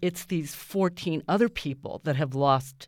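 On a very clean recording with a silent background, a woman talks at a fairly slow pace. She has an ordinary speaking voice with lively intonation. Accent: American. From US, Japanese American. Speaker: stage actor. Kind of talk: radio interview. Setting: radio studio.

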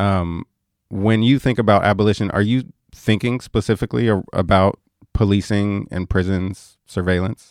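Here is an unremarkable speaking voice at a moderate pace with fairly even intonation. The sound is dry and close with no echo, on a very clean recording with a silent background. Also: man, fairly low pitch for a man. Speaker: radio host. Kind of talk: radio interview. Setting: radio studio.

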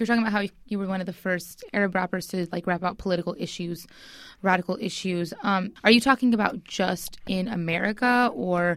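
A woman speaks at a medium pitch. It is an ordinary speaking voice. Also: ordinary pitch variation, fairly quick pace. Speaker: radio show co-host. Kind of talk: casual interview. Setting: studio.

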